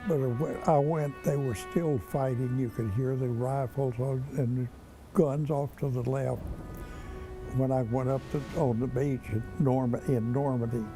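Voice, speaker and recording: Over music in the background, a man speaks with ordinary pitch variation and long, frequent pauses. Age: 80s+. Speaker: war veteran. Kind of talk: testimony.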